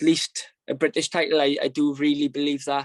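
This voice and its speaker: A man with a Welsh accent, fairly high in pitch, with fairly even intonation and a dry, close sound with no echo. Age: 20s. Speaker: professional boxer. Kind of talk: interview. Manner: halting.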